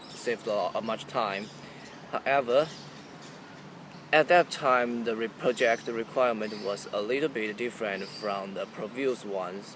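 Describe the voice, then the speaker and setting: Medium in pitch, a man talks at a moderate pace with ordinary pitch variation. Long, frequent pauses break his speech over noticeable background noise. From China. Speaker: student. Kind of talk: job interview practice. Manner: halting.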